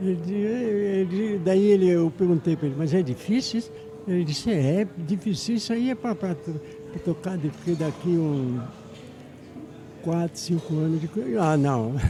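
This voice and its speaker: Noticeable background noise accompanies a man speaking in a high pitch. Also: ordinary pitch variation, moderate pace. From Brazil, Paraná (Paranaguá). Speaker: conductor and composer. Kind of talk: interview. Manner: halting.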